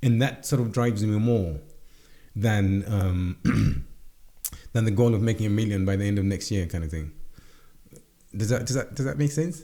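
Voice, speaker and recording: With a dark, mellow tone and ordinary pitch variation, a man speaks with long, frequent pauses. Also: fairly low pitch for a man, moderate pace. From Zimbabwe. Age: 40s. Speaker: entrepreneur. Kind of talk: interview. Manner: halting, many repetitions.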